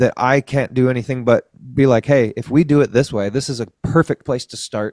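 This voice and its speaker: With an American accent, a man speaks at a fairly quick pace and fairly even intonation in a plain, everyday voice, the sound dry and close with no echo. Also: medium pitch for a man. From Colorado. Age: 40s. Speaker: food forest advocate. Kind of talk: casual chat.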